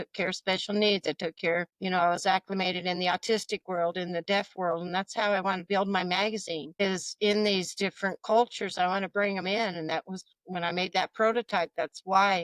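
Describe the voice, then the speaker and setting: A woman speaks at a fairly quick pace in a plain, everyday voice of medium pitch, with a dry, close sound and no echo. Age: 60s. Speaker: entrepreneur, magazine publisher. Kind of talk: interview conversation.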